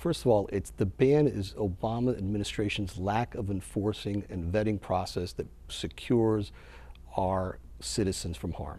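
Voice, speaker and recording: Lively intonation runs through a man's fairly low voice at a moderate pace. His tone is dark and mellow, and somewhat breathy. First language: Spanish. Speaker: political candidate. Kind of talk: TV interview. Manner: passionate.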